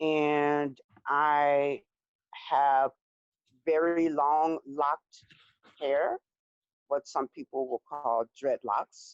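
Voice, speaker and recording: A woman with an American accent speaks very slowly in a very deep, low, monotone voice. Long, frequent pauses fill the dry, close recording with no echo. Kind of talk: interview. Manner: halting, many fillers.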